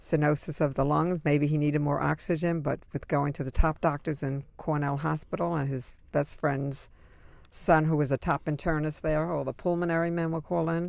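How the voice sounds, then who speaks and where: Recorded very cleanly with a silent background, a woman with a very deep, low pitch talks at a fairly quick pace with fairly even intonation. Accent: New York. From Brooklyn, New York. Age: 70s. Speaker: interviewee. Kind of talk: oral history interview. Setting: recording booth.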